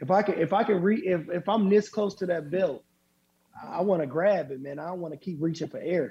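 Pitch sits high for this man, with ordinary variation. He talks at a fairly quick pace in an American accent. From Flint, Michigan. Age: 30s. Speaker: professional boxer. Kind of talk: casual interview.

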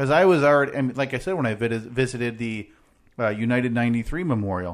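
A man talks at a fairly quick pace and medium pitch in a plain, everyday voice. The background is quiet. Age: 20s. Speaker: podcast co-host. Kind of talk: casual chat. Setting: studio.

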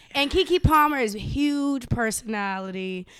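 Loud and high-pitched, a woman speaks with ordinary pitch variation on a very clean recording with a silent background. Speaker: podcast host and voiceover actress. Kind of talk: casual chat.

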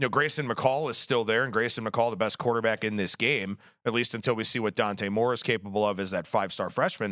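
Speaking at a very fast pace with hardly any pauses, a man holds a medium pitch and ordinary pitch variation. The recording is very clean, with a silent background. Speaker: sports betting analyst. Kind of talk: sports betting analysis. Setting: studio.

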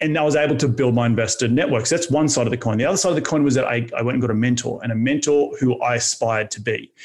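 A man with an Australian accent talks at a very fast pace with hardly any pauses, in a medium-pitched voice with ordinary pitch variation and very even loudness. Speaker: real estate entrepreneur. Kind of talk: interview. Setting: studio.

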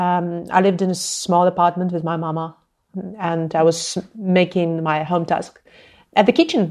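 A woman's fairly low, monotone voice with flat intonation, in a very clean recording with a silent background. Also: moderate pace. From Ukraine, Zhytomyr. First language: Ukrainian. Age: 30s. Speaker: anti-corruption activist. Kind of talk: interview. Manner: impassioned.

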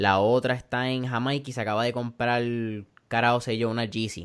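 Monotone and flat in intonation, a man talks at a fairly quick pace and a medium pitch on a very clean recording with a silent background. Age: 20s. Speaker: podcast host. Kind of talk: interview. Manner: casual, Spanish-English code-switching.

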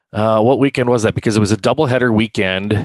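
In a very clean recording with a silent background, the sound is dry and close with no echo. A man with an Upper Midwest accent speaks at a fairly low pitch with fairly even intonation. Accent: Upper Midwest American. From South Dakota, Sioux Falls area. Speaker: racetrack announcer. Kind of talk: casual interview. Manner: halting, many fillers.

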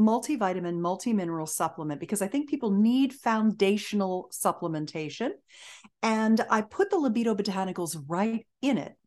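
A woman with an ordinary speaking voice, fairly high in pitch, with lively intonation at a moderate pace against a quiet background. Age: 60s. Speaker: intimacy coach and entrepreneur. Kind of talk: interview.

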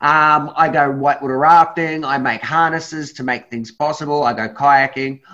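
Someone talks at a moderate pace with a New Zealand accent. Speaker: adventure guide and charity founder. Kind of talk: presentation on a group call. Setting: video call. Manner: animated.

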